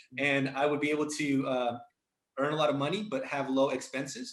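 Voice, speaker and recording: A man speaks with a Spanish accent and a fairly high pitch. Room echo is audible. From Mexico, then raised in the US. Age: 30s. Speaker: entrepreneur. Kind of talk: interview. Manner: animated, casual slang.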